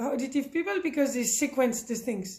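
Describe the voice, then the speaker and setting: A woman speaks in a French accent at a high pitch, with ordinary pitch variation. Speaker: parenting educator. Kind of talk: tutorial. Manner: not so fast; halting.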